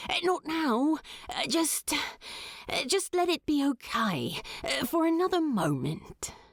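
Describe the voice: In a put-on character voice, the speaker goes slowly with big pitch swings, the sound dry and close with no echo. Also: woman, high pitch for a woman.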